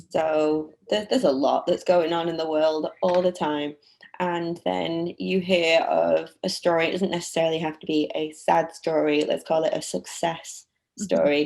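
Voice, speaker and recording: A woman speaks with a British accent. Her pace is moderate. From United Kingdom. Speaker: nonprofit auction operations manager. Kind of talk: interview answer.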